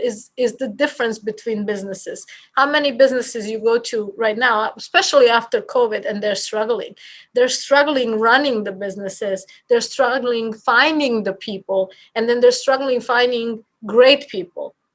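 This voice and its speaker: With a Bosnian accent, a woman speaks at a fairly high pitch. She uses ordinary pitch variation. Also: moderate pace. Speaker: real estate office leader. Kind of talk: podcast interview. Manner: animated.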